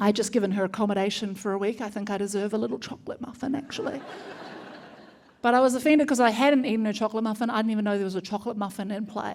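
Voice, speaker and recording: Speaking at a very fast pace in a New Zealand accent, a woman keeps a fairly even intonation over noticeable background noise. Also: fairly high pitch for a woman. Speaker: comedian. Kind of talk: stand-up. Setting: stage with audience.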